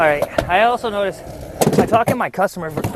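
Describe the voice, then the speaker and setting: Over noticeable background noise, a man speaks fairly quickly in a relaxed tone with lively intonation. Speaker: vlogger. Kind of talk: casual vlog monologue. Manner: relaxed, rambling with fillers.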